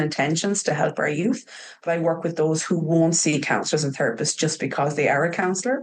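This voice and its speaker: Speaking at a fairly quick pace, a woman uses a fairly low pitch in an Irish accent. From Ireland. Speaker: trauma practitioner working with youth. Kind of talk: podcast interview. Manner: hesitant, many fillers.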